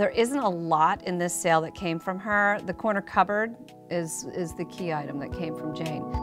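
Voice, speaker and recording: Over clear background music, a woman with an American accent speaks at a moderate pace and fairly low pitch, with ordinary pitch variation. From United States. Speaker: auctioneer. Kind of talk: auction preview talk to camera. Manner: conversational, storytelling, with hesitations. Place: shop.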